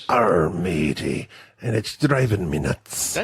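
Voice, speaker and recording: This man uses a put-on character voice that is raspy and very deep, low in pitch. His pace is fairly slow. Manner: growly, swaggering.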